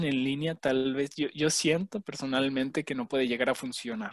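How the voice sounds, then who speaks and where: A man with a plain, everyday voice speaks at a moderate pace in a fairly high pitch, his dry, close sound free of echo on a very clean recording with a silent background. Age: 20s. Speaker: podcast co-host. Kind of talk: casual chat.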